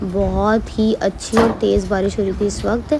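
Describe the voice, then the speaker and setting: With music playing behind her, a woman speaks at a fairly slow pace. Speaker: vlogger. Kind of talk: vlog voiceover narration.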